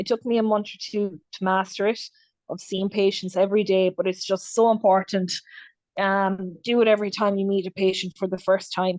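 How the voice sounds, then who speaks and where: Fairly quick, flat monotone speech from a woman with an Irish accent at a medium pitch, over a quiet background. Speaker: clinical nurse specialist. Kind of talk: webinar lecture. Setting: video call. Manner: fast.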